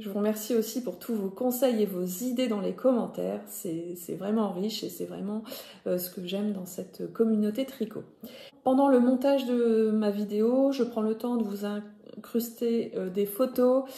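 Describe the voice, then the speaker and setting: This woman speaks at a fairly slow pace with a northern French accent. Her voice is fairly high in pitch, and her intonation is fairly even. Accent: Ch'ti (northern French). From northern France (Nord). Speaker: knitting podcaster. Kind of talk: casual vlog talk to viewers. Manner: hesitant, many fillers (euh).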